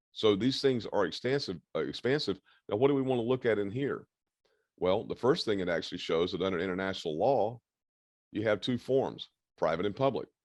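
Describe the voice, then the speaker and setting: Over a quiet background, a man at medium pitch talks at a fairly quick pace. His intonation is lively. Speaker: self-styled head of a micronation, speaker on international law. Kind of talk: casual video interview with screen share. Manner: fast.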